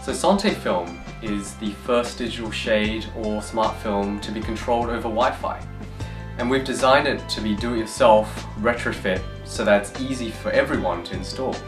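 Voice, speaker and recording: A man's fairly low voice at a moderate pace, with clear music in the background. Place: studio.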